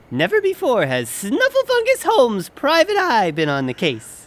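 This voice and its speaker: A cartoonish character voice moves along at a moderate pace. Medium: puppet show. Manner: enthusiastic, goofy.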